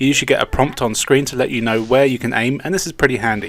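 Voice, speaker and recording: Here a man talks at a fairly quick pace. His voice is fairly high, with an English accent. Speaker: video game reviewer. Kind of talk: scripted narration.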